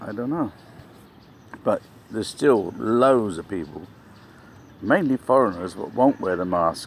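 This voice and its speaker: Noticeable background noise sits behind a man speaking in an English accent. His moderate pace has lively intonation and long, frequent pauses. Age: 60s. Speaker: vlogger. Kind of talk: casual vlog monologue. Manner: rambling, halting.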